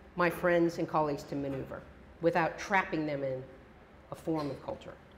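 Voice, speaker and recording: Amid audible room echo, a woman talks with fairly even intonation. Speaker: professor. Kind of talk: lecture.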